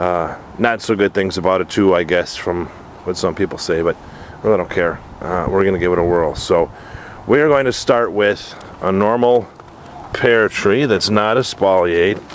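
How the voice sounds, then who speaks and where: An unremarkable speaking voice from a man, fairly low in pitch with ordinary pitch variation at a moderate pace, in a dry sound with no echo and light background noise. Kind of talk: casual tutorial. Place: garden. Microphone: phone near.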